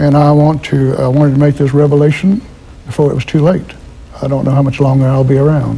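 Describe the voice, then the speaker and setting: Over noticeable background noise, a man speaks at a fairly quick pace and a fairly high pitch. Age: 60s. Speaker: former mob lawyer, guest. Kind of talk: live TV call-in interview. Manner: hesitant, many uhs.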